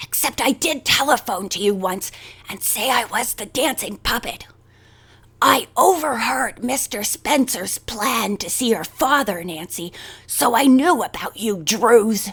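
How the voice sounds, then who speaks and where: A woman's put-on character voice, whispering, raspy, hoarse and croaky, at a fairly slow pace. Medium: read story. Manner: fierce, sharp-tongued.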